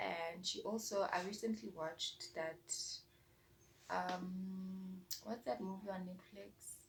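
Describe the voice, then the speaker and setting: Soft-spoken and somewhat breathy, a woman talks at a very slow pace. Her medium pitch shows ordinary variation. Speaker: booktuber. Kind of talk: casual vlog chat.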